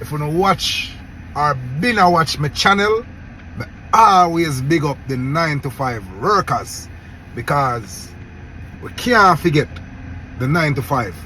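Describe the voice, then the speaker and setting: Over noticeable background noise, a man with a Jamaican accent talks at a fairly slow pace in a fairly high pitch, with very wide pitch swings and long, frequent pauses. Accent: Jamaican Patois-accented English. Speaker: YouTube commentator. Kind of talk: casual commentary vlog.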